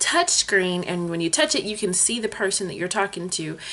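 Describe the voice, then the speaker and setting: The speaker has an animated tone and lively intonation at a fairly quick pace. Noticeable background noise is present. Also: woman. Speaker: vlogger. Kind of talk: storytime vlog.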